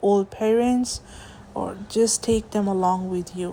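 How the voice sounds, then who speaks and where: A woman of medium pitch with a Pakistani accent, at a fairly slow pace. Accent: South Asian (Pakistani) English. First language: Urdu. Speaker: lifestyle vlogger. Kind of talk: vlog voiceover narration. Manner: hesitant with fillers.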